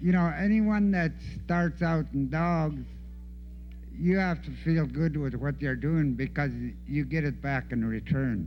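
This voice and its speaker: Music plays in the background with audible room echo. A man speaks at a fairly slow pace. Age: 70s. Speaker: veteran dog musher. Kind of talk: casual talk at a conference.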